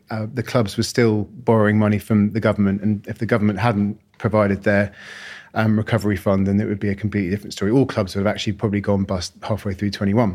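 A man with a fairly low voice speaks at a very fast pace. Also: very clean recording, silent background. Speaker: rugby league chief executive. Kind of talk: interview.

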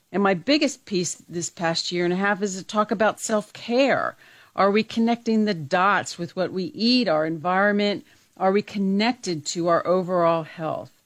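This woman has a plain, everyday voice at medium pitch. She speaks at a moderate pace with lively intonation. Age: 60s. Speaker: radio co-host, lifestyle segment. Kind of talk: casual chat.

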